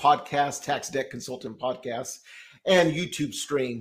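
With an ordinary speaking voice, a man talks at a moderate pace with a fairly high pitch and fairly even intonation. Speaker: tax consultant podcast host. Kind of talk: casual interview chat. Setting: video call.

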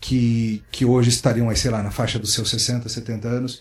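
Here a man speaks at medium pitch and a moderate pace. His voice sounds somewhat breathy. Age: 40s. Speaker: pastor and author. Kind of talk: interview conversation. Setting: book fair recording.

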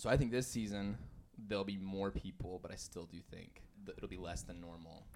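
A man with a plain, everyday voice and an American accent speaks fairly quickly in a fairly low pitch, with ordinary pitch variation and big swings in loudness. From US Southwest, Farmington, New Mexico. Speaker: cafe manager. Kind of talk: casual chat. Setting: closed cafe.

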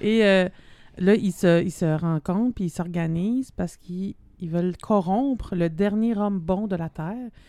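With a Quebec accent, a woman speaks at a medium pitch and a fairly slow pace, her tone dark and mellow and her pitch variation ordinary. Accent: Québécois French. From Quebec, Abitibi (Rouyn-Noranda). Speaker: podcast co-host. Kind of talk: casual chat. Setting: studio.

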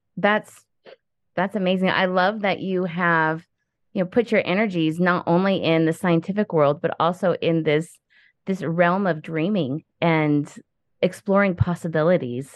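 An unremarkable speaking voice carries fairly even intonation. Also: woman, fairly low pitch for a woman. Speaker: podcast host. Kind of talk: casual interview chat.

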